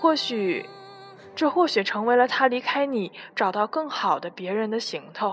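Against noticeable background noise, a woman speaks at a very slow pace with lively intonation. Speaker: radio host. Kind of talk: reading aloud.

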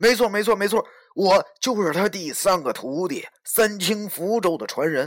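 The text is read aloud in a natural voice. Its pitch rises and falls in an ordinary way.

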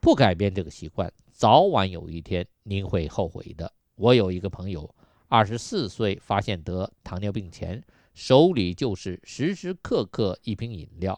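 In a dry, close recording with no echo and a quiet background, a man with a normal speaking voice talks fairly slowly at a fairly low pitch, with ordinary pitch variation and big swings in loudness. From Yunnan, China. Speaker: radio health show host. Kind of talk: radio health talk monologue.

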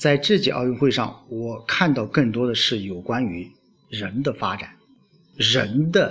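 Music plays in the background as a man of medium pitch speaks very slowly with very wide pitch swings. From China. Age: 40s. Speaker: village-level official and self-media podcaster. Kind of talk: solo podcast monologue. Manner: hesitant with frequent fillers.

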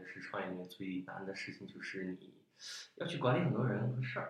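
There is audible room echo around this voice. The man's intonation is lively. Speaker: startup founder. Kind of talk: casual chat. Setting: studio.

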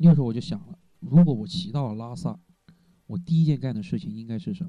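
Music plays in the background as a man talks. His fairly high voice makes very wide pitch swings. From Hunan, China. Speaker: university student and cyclist. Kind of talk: casual interview chat. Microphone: poor recording quality due to equipment problems.

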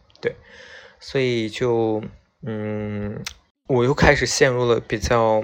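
A man speaks very slowly, holding a medium pitch with fairly even intonation. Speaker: podcast host. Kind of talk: late-night solo radio-style monologue. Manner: casual, hesitant with many fillers.

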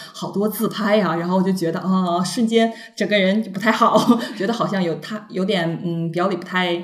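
A woman is heard with audible room echo and noticeable background noise. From northeast China, Shenyang. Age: young. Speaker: trainee flight attendant, former TV station worker. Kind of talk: casual chat.

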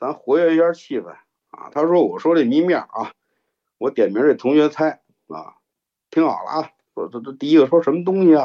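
A man with a Beijing accent, fairly high pitch, ordinary pitch variation and moderate pace. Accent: Beijing Mandarin, heavy erhua. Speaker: storyteller. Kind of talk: storytelling. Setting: live online broadcast. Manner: relaxed, laid-back.

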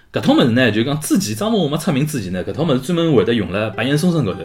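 Over noticeable background noise, an animated man talks at a very fast pace with very wide pitch swings. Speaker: podcast host. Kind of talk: casual monologue livestream chat. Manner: halting.

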